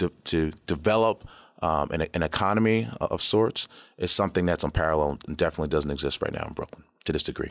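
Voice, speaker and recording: In an American accent, a man speaks very fast with lively intonation, his voice dry and close with no echo on a very clean recording with a silent background. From New York City, Queens. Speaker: company founder. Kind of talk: interview. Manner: halting, many fillers.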